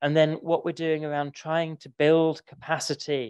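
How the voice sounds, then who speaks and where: A man with a London accent and a fairly high pitch talks at a moderate pace, the sound dry and close with no echo against a quiet background. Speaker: library association director. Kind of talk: conference talk.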